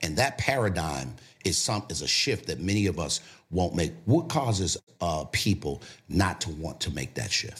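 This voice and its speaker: With vocal fry and lively intonation, a man of very deep, low pitch speaks at a moderate pace. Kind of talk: casual interview.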